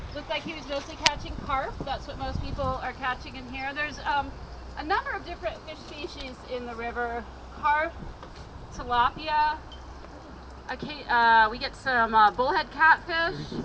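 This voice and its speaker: A woman with a high pitch uses a raised, projected voice with big swings in loudness and ordinary pitch variation at a moderate pace. She takes long, frequent pauses over noticeable background noise. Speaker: river tour guide. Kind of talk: guided tour talk outdoors.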